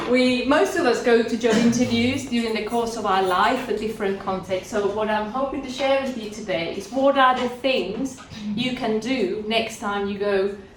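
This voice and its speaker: A woman speaks at a moderate pace and fairly high pitch with ordinary pitch variation. The recording has audible room echo and noticeable background noise. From Spain, Andalusia (Cádiz). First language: Spanish. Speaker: career mentor. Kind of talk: talk to a class of language learners.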